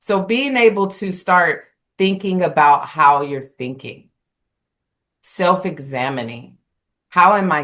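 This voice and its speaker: Against a quiet background, a woman talks fairly slowly at a very deep, low pitch with lively intonation. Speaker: spiritual talk show co-host. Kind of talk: casual conversation. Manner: loud.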